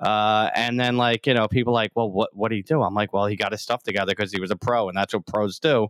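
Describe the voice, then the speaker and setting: A man with a New York accent talks very fast with hardly any pauses. His pitch is fairly low, with fairly even intonation and very even loudness. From New York City, Staten Island. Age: 50s. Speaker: stunt coordinator and former police officer. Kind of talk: casual chat.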